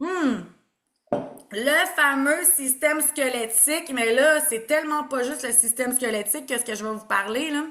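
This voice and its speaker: A woman with a Quebec accent projects a raised, high-pitched voice. Her tone is animated, with ordinary pitch variation. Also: fairly slow pace. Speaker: naturopath. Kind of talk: online presentation.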